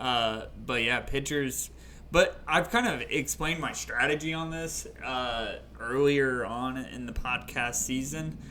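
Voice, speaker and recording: A man speaks at a fairly slow pace amid noticeable background noise. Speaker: fantasy baseball podcast co-host. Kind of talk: casual chat.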